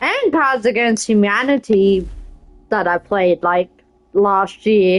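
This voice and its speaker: In an Australian accent, a woman speaks at a fairly slow pace. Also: dry, close sound with no echo. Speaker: game streamer. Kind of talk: reading aloud; casual gameplay commentary.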